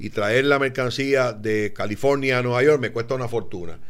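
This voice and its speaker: The man's voice shows ordinary pitch variation. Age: 60s. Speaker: business podcast host. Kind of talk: casual chat.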